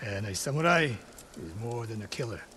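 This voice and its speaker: A raspy, put-on character voice with lively intonation moves at a fairly quick pace over clear background noise. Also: man, medium pitch for a man. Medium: video game. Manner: terse, stern, formal.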